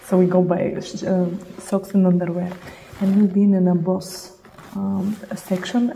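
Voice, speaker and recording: A woman with a Russian accent speaks at a moderate pace in a medium pitch, her intonation monotone and flat, with long, frequent pauses and noticeable background noise. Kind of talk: casual chat.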